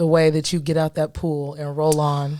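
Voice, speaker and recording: A woman speaks with an American accent. Her voice is very deep and low in pitch, with a dark, mellow tone. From US South. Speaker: podcast co-host. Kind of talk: casual chat. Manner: animated.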